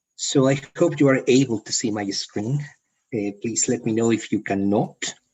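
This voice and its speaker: A man at medium pitch, somewhat breathy, at a moderate pace with ordinary pitch variation. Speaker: university lecturer. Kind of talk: conference presentation. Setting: online live stream, sharing screen.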